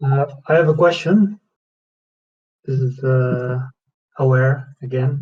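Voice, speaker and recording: A man talks at a very slow pace with long, frequent pauses. His voice is medium in pitch, somewhat breathy, with ordinary pitch variation. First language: not English. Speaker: community member asking questions. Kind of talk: question on community call. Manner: halting.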